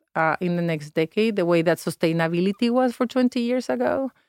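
A woman with a Spanish accent at a fairly low pitch and fairly quick pace, ordinary pitch variation, dry, close sound with no echo. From Mexico. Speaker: nonprofit founder and former diplomat. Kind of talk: interview. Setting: studio.

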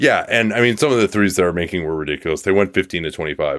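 A man talks with noticeable vocal fry. The sound is dry and close, with no echo. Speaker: basketball podcast host. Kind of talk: sports commentary.

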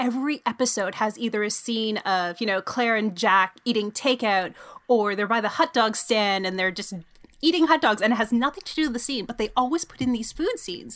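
The woman has a plain, everyday voice with fairly high pitch. She talks at a fairly quick pace with ordinary pitch variation. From Canada, Toronto. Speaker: sports journalist and podcaster. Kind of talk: casual chat.

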